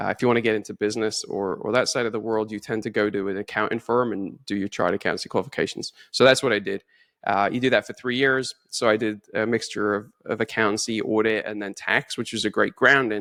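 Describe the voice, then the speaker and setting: The voice is bright and sharp, monotone and flat, racing at a very fast pace with hardly any pauses. The sound is dry and close with no echo, on a very clean recording with a silent background. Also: man, fairly low pitch for a man. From northeast England, Newcastle upon Tyne. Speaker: finance executive. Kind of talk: interview conversation.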